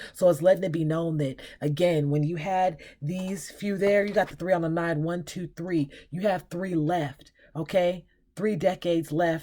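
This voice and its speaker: A woman's fairly low voice, dark and mellow in tone, with fairly even intonation and big swings in loudness. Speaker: tarot reader. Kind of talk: tarot reading. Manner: fast; halting.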